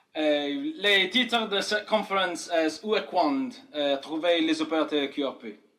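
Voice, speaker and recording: A man with a non-native accent speaks fairly slowly in a high pitch for a man, his intonation lively, with audible room echo around him. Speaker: amateur radio operator. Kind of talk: conference talk. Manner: halting, many hesitations.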